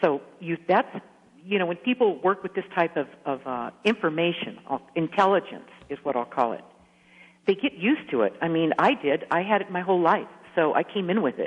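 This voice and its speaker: Speaking in a normal speaking voice, a woman with a fairly low pitch and lively intonation keeps a moderate pace. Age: 60s. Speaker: author. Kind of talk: radio interview.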